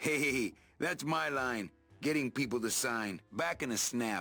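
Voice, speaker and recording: Faint music plays in the background as a man speaks in a put-on character voice. His pitch sits in the medium range. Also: fairly slow pace. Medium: video game. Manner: dry, laconic.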